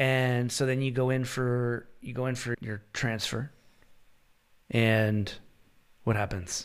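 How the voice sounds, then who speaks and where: A man with a Canadian accent speaks at a medium pitch in a monotone, flat intonation. His pace is very slow, with long, frequent pauses. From Canada. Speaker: podcast host. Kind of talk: casual interview conversation.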